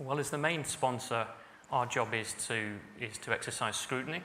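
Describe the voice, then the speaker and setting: Audible room echo surrounds a man's bright, sharp voice. He speaks at a moderate pace with fairly even intonation. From northern England, Salford. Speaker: senior civil servant. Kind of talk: conference speech. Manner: hesitant, many fillers (um, uh).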